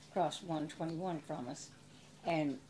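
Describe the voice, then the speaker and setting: In a Texan accent, a woman speaks with a fairly low pitch and a dark, mellow tone. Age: 80s+. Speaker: small business owner. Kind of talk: interview answer.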